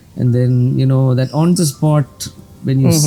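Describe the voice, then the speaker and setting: A man talks at a fairly quick pace in a plain, everyday voice. His pitch sits at a medium level. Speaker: playback and classical singer. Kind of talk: interview answer.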